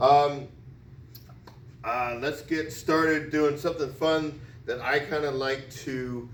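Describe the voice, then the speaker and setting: A man speaks fairly slowly in an animated tone. Audible room echo surrounds his voice. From US Northeast (Connecticut). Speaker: PE teacher. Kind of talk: tutorial. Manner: loud.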